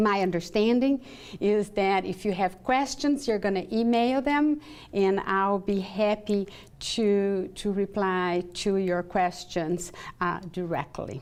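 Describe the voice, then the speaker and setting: A woman in a Brazilian Portuguese accent, at a very slow pace with very even loudness. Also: medium pitch for a woman, ordinary pitch variation. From southern Brazil. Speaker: professor and clinical psychologist. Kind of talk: lecture.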